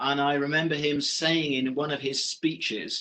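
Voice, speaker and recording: Using a British accent, a man speaks at a fairly slow pace and a fairly high pitch in a bright, sharp tone. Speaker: professor and business director. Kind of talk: online lecture. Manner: hesitant, many fillers.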